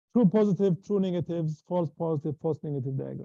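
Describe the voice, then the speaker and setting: A man speaks at a fairly quick pace with a fairly high pitch, a dark, mellow tone and ordinary pitch variation, recorded dry and close with no echo. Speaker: university lecturer. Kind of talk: lecture. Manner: fast; halting.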